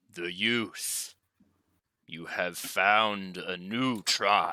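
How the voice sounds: A booming put-on character voice from a man, fairly low in pitch and at a very slow pace, on a very clean recording with a silent background.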